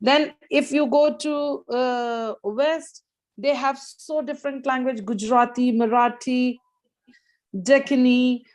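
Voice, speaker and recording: A woman's high voice with an Indian accent, at a very slow pace, with fairly even intonation. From northern India, Hindi-speaking region. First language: Hindi. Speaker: guest speaker, educator. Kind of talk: casual Q&A in an online English club. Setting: video call. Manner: hesitant, with many fillers.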